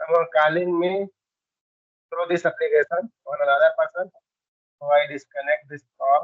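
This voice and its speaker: Speaking in a high pitch with an Indian accent, a man keeps fairly even intonation at a moderate pace, with long, frequent pauses and big swings in loudness. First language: Hindi. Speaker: English learner. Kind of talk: casual chat, English practice conversation. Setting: video call on a language app.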